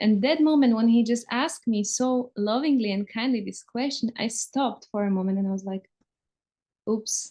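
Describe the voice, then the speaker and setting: A woman with a non-native accent speaks at a moderate pace in a fairly high pitch. Her tone is dark and mellow, with ordinary pitch variation. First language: not English. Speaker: interviewer. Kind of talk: casual conversation, personal story.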